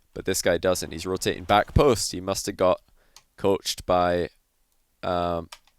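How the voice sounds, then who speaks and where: With a Scottish accent, a man speaks at a very deep, low pitch and a fairly slow pace, with long, frequent pauses and big swings in loudness, the sound dry and close with no echo. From Scotland. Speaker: gaming commentator. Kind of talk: replay analysis commentary. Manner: animated.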